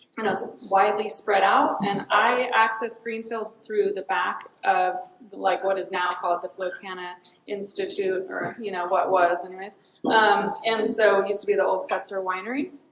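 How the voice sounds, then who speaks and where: Over noticeable background noise, a woman with an American accent speaks at a medium pitch with fairly even intonation. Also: moderate pace. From Mendocino County, California. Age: 40s. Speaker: rancher. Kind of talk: panel talk. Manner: hesitant, many ums.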